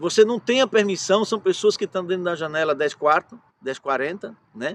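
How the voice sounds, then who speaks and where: A man at a moderate pace, pitch swinging very widely, in a dry, close sound with no echo. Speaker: pastor. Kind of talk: sermon.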